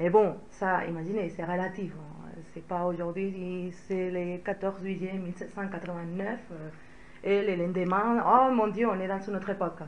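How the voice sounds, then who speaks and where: With a Spanish accent, a woman speaks at medium pitch and a fairly slow pace in a monotone, flat intonation, her loudness swinging widely amid noticeable background noise and audible room echo. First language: Spanish (speaking French). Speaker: historian. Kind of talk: lecture. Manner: hesitant, many filler sounds.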